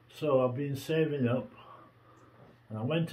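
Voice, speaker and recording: A man's somewhat breathy voice at a fairly slow pace, with ordinary pitch variation. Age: 80s+. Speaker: pensioner. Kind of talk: testimony. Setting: at home. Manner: halting.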